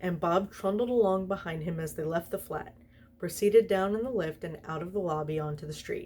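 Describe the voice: Ordinary pitch variation in a plain reading aloud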